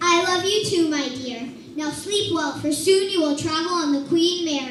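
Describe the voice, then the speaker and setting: A woman's put-on character voice, extremely high-pitched, with slight echo and clear background noise. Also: moderate pace. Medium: stage play.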